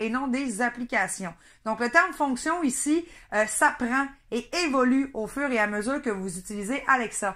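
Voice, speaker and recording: In a very clean recording with a silent background, a woman with a Saguenay accent speaks fairly slowly in a raised, projected voice, with a high pitch and a bright, sharp tone. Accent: Saguenay Quebec French. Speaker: product reviewer. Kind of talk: product review. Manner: hesitant, many fillers.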